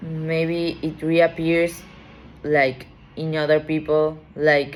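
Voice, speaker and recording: A woman speaks very slowly at a very deep, low pitch, her intonation monotone and flat. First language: not English. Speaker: tarot reader. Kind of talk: tarot reading. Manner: halting.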